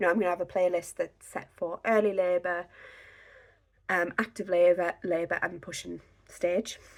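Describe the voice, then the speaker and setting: A woman speaks with an English accent at a moderate pace and a fairly low pitch. Her intonation is monotone and flat, broken by long, frequent pauses. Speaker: podcast host. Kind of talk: tutorial. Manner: casual, with many fillers.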